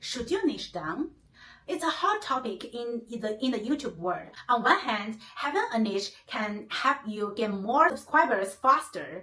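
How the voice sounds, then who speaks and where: A woman with a Chinese accent speaks at a fairly slow pace in a fairly high pitch, her intonation lively. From China. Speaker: YouTuber. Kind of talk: vlog tutorial.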